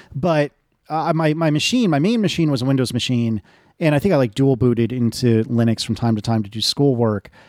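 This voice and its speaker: Fairly quick speech with an American accent and ordinary pitch variation. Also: man, medium pitch for a man. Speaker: podcaster and app developer. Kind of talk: interview. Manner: halting, frequent fillers and repetitions.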